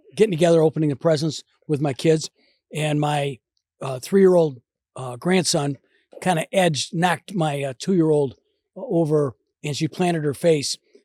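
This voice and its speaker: Recorded with a dry, close sound and no echo, a man with a Midwestern American accent speaks at a moderate pace in a fairly high voice, using ordinary pitch variation and long, frequent pauses. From US Midwest, Detroit area, Michigan. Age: 70s. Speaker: winery owner. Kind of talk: casual chat.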